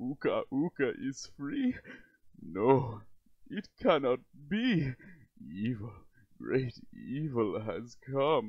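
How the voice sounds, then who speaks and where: Using a put-on character voice at a medium pitch, a man speaks very slowly with long, frequent pauses. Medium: dub. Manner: menacing, angry.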